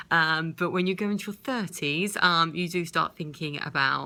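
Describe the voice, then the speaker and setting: In a British accent, a woman speaks with a very deep, low pitch and a bright, sharp tone. Her pitch variation is ordinary, and the recording is very clean with a silent background. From UK. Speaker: vlogger with multiple sclerosis. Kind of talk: personal video diary. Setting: hospital bed.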